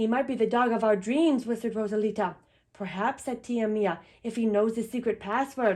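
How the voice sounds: The speaker uses a natural reading voice. Intonation stays fairly even.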